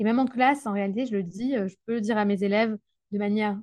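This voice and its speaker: Sound is dry and close with no echo, and the background is quiet. A woman with fairly high pitch talks at a very fast pace. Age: 20s. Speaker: primary school teacher. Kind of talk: interview conversation. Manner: hesitant with fillers and repetitions.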